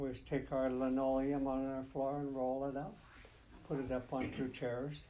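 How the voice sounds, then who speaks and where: A man with an American accent speaks at a moderate pace, his medium-pitched voice dark and mellow. His intonation stays flat and monotone. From Lummi Nation, Nooksack River, Washington. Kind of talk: oral history interview answer.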